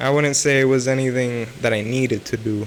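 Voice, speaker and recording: There is noticeable background noise as a man speaks at a moderate pace in a medium pitch with ordinary pitch variation. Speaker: self-improvement vlogger. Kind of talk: unscripted vlog monologue. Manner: halting, many restarts and fillers; slurred speech.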